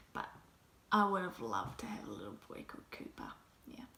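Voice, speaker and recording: Speaking with a New Zealand accent, a woman has a medium pitch. Audible echo fills the room. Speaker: mommy vlogger. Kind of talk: casual vlog talk. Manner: casual, hesitant.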